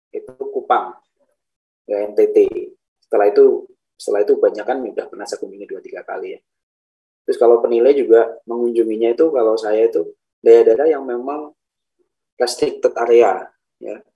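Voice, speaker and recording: The speaker goes at a fairly quick pace, with big swings in loudness and long, frequent pauses. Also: man. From Central Java, Banyumas. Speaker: lecturer and property appraiser. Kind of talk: class introductions, casual lecture talk.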